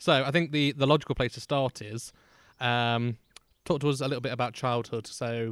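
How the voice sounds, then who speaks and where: In a very clean recording with a silent background, a man with an English accent speaks at a moderate pace, medium in pitch and fairly even in intonation. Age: 20s. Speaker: podcast host. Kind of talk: casual chat. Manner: hesitant, lots of fillers.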